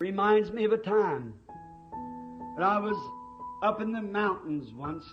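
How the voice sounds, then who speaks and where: A man with an American accent speaks at a fairly slow pace in a high pitch, his intonation lively, with long, frequent pauses and music playing in the background. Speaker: preacher. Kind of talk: sermon.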